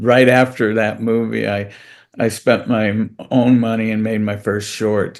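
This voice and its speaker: Delivered at a fairly slow pace, a man's fairly low voice stays monotone and flat. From United States. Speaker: comedian, actor and director. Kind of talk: interview answer.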